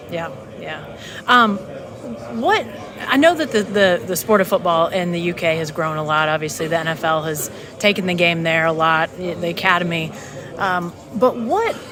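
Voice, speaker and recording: A woman with an American accent speaks at a fairly low pitch with ordinary pitch variation while crowd noise carries in the background. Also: moderate pace. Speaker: sports journalist, podcast host. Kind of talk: interview question.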